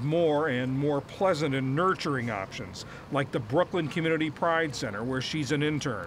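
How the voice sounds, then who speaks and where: A man with an unremarkable speaking voice talks with hardly any pauses, at a fairly high pitch with ordinary pitch variation. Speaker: news reporter.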